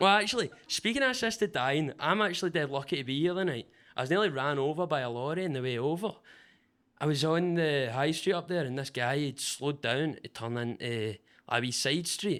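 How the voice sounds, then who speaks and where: On a very clean recording with a silent background, a man with a Glasgow accent speaks fairly quickly at a fairly high pitch with lively intonation. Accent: Scottish (Glasgow area). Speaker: stand-up comedian. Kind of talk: stand-up. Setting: stage with audience.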